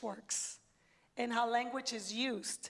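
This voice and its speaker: A woman speaks in a high voice with a Spanish accent. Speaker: education panelist. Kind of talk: panel discussion.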